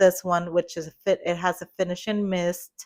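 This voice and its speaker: The speaker has a strong Spanish accent and a monotone, flat intonation. The pace is moderate. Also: woman. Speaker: hairdresser, podcast co-host. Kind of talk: casual chat.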